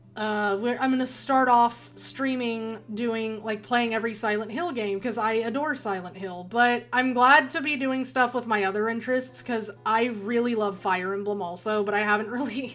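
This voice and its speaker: A woman talks at a moderate pace and a fairly high pitch with hardly any pauses. Room echo and noticeable background noise can be heard. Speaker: gaming streamer. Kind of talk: livestream commentary. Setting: home room with poor acoustics. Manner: loud; animated.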